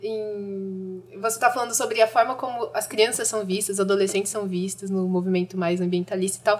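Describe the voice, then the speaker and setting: Speaking at a fairly quick pace, a woman uses an ordinary speaking voice at a medium pitch. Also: fairly even intonation. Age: 20s. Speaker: young climate activist. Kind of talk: casual chat. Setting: studio.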